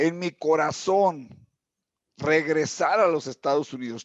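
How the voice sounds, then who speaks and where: Pitch moves with ordinary variation. The recording sounds dry and close, with no echo. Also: man. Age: 60s. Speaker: business consultant. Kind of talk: interview.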